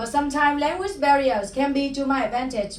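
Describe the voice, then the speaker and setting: A woman with a Vietnamese accent speaks at a moderate pace in a high pitch, with ordinary pitch variation. There is audible room echo and noticeable background noise. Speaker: stand-up comedian. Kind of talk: stand-up. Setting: stage with audience.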